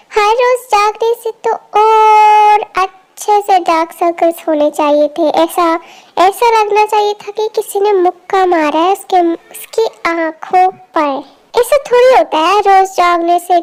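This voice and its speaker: A woman's put-on character voice at an extremely high pitch, fairly slow, with ordinary pitch variation. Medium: fan dub. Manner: blunt, informal, teasing.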